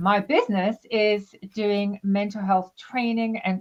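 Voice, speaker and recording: Speaking with a South African accent, a woman talks at medium pitch and a fairly slow pace. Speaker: psychotherapist and mental health trainer. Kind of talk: interview.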